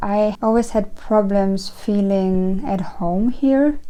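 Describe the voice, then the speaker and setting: In a German accent, a woman with a fairly high pitch and dark, mellow tone talks at a very slow pace. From Germany. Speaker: witchcraft YouTuber. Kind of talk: casual personal ramble. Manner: rambling, halting with false starts.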